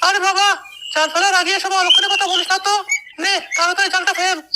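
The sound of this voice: A cartoonish character voice chatters at a fairly quick pace with an extremely high pitch.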